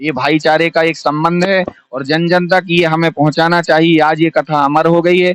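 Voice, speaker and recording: Speaking at a moderate pace with fairly even intonation, a man with a high-pitched voice comes through in a dry, close sound with no echo. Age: 30s. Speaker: Bhagwat katha preacher. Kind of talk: interview.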